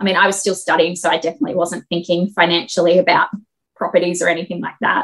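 A woman with an Australian accent talks at a very fast pace, her intonation fairly even. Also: fairly low pitch for a woman. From Australia, Sydney. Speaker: property investor and engineering project manager. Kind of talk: casual interview.

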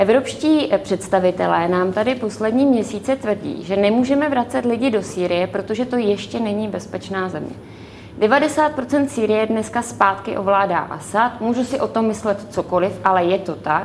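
Noticeable background noise accompanies a woman with a fairly high pitch. She speaks at a moderate pace with ordinary pitch variation. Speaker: member of European Parliament. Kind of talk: televised political debate.

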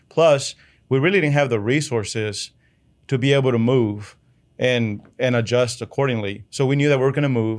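A man with a Spanish accent speaks in fairly even intonation on a very clean recording with a silent background. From Chihuahua, Mexico, then Odessa, Texas from age 11. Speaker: oilfield business owner. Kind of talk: interview storytelling.

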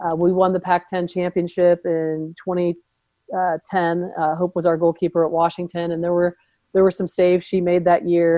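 A woman with a Californian accent talks at a fairly slow pace. Her voice sits fairly low, with monotone, flat intonation. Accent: Californian American. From US West Coast, Southern California (Redondo Beach). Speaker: soccer coach. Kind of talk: interview.

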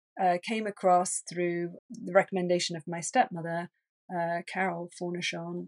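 Speaking in an English accent, a woman keeps a medium pitch and monotone, flat intonation at a moderate pace. The sound is dry and close with no echo, over a quiet background. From England. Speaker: energy healer. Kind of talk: interview conversation.

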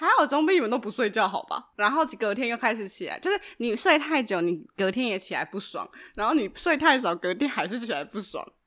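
A woman with a Taiwanese accent, fairly high-pitched and fairly quick, with very wide pitch swings. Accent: Taiwanese Mandarin. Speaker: podcast co-host. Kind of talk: casual chat. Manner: laughs often.

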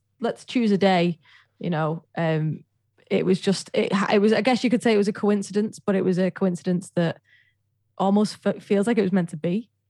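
Over a silent background on a very clean recording, a woman talks at a fairly quick pace with a dark, mellow tone, medium pitch, and ordinary pitch variation. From Widnes, northwest England. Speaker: singer-pianist and Twitch streamer. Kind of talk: casual interview chat.

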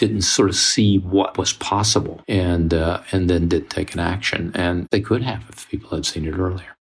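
With an American accent, a man speaks at a moderate pace in a very deep, low, somewhat breathy voice, his intonation fairly even, his loudness swinging widely and his speech running with hardly any pauses. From US South, Mississippi. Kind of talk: casual chat.

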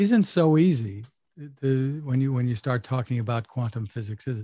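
Dark and mellow, a man's somewhat breathy voice moves with ordinary pitch variation, dry and close with no echo against a quiet background. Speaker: tech interview host. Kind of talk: interview.

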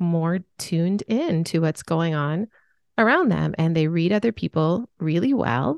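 A woman's fairly low voice at a moderate pace, dry and close with no echo, against a quiet background. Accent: Upper Midwest. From US Midwest. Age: 40s. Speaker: author and sensitivity expert. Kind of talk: casual interview.

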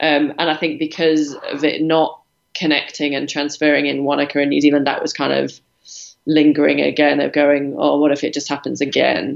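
A woman with a British accent, a very deep, low pitch and vocal fry, at a moderate pace. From Britain. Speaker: professional triathlete. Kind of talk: interview.

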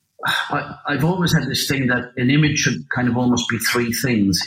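The speaker has an Irish accent and a moderate pace. Pitch varies in an ordinary way. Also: man. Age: 50s. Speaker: landscape photographer. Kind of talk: interview. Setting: remote call.

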